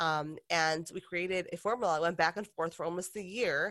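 A woman with an American accent uses a normal speaking voice, fairly low in pitch, at a moderate pace on a very clean recording with a silent background. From Detroit, Michigan, US. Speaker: makeup company founder. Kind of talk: interview conversation. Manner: casual, frequent fillers.

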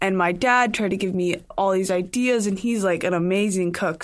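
A woman speaks with an ordinary speaking voice. Her pitch is medium and her intonation fairly even. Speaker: college student athlete. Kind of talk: casual chat. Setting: studio.

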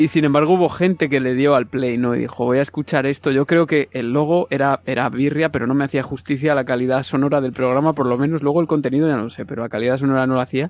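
A man talks very fast with hardly any pauses. His voice is fairly high and his intonation fairly even. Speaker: music and video game podcaster. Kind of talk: casual chat.

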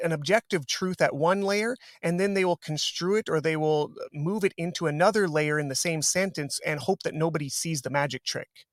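A man with a Canadian accent talks in an ordinary speaking voice at fairly high pitch, the sound dry and close with no echo on a very clean recording with a silent background. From Canada. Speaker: jiu-jitsu instructor and author. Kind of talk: interview.

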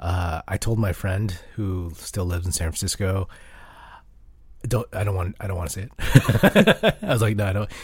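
A man uses a put-on character voice, raspy and fairly low in pitch. He speaks at a fairly slow pace with fairly even intonation. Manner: melancholy.

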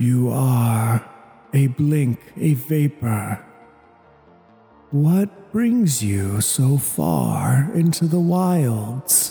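Faint music sits behind a man doing a put-on character voice. He speaks at a medium pitch and a very slow pace. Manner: grand, dismissive.

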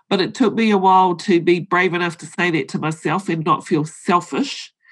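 A woman speaks in a New Zealand accent. Her pace is moderate, and her intonation is fairly even. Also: quiet background. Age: 50s. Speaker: board director and accountant. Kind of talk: interview.

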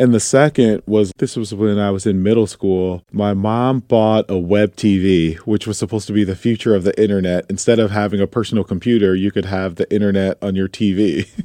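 A man with an American accent talks at a fairly quick pace in a fairly low voice with a dark, mellow tone and fairly even intonation. The sound is dry and close with no echo, over a quiet background. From US Midwest (Toledo, Ohio). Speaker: tech founder and investor. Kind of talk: interview. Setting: studio.

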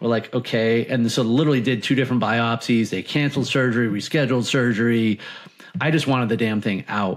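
With an American accent and an unremarkable speaking voice, a man of medium pitch talks at a fairly quick pace with fairly even intonation. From Massachusetts, Martha's Vineyard. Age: 40s. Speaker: author and cancer survivor. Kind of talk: interview.

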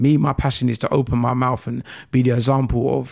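On a very clean recording with a silent background, a man speaks with a South London accent. His medium-pitched voice stays monotone and flat at a fairly quick pace. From South London (Croydon, South Norwood). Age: 30s. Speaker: motivational speaker, shooting survivor. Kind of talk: casual interview.

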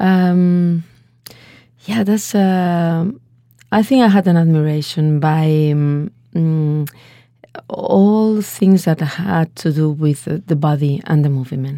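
A woman in a Spanish accent talks at a very slow pace with a fairly low pitch, a dark, mellow tone, ordinary pitch variation and very even loudness. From Spain, Valencia. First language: Spanish or Catalan. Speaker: dance artist. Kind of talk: interview.

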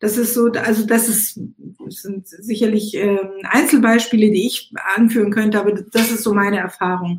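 Noticeable background noise behind a woman's moderate-paced speech, fairly high in pitch, with fairly even intonation. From Israel, Eilat; raised East Africa and Germany. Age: 60s. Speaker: musician and activist. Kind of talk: casual chat.

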